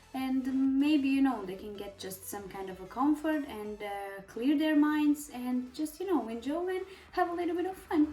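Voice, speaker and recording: A woman with a Serbian accent speaks at a moderate pace with hardly any pauses, her high pitch swinging very widely. Her loudness shifts a lot, and there is noticeable background noise. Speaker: beauty vlogger. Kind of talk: casual chat. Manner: halting, many fillers and pauses.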